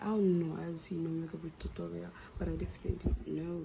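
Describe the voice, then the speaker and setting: A woman speaks fairly slowly, with audible room echo and noticeable background noise around her. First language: not English. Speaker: beauty vlogger. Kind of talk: casual vlog.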